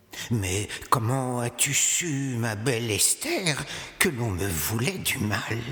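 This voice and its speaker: A man puts on a character voice at a medium pitch. He goes at a very slow pace, with a clear echo. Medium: stage play. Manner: stammering, repetitive.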